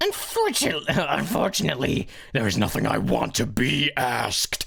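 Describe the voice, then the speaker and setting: Over light background noise, a man performs in a put-on character voice. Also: moderate pace. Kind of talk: live game stream voice acting. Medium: role play. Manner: angry, shouting.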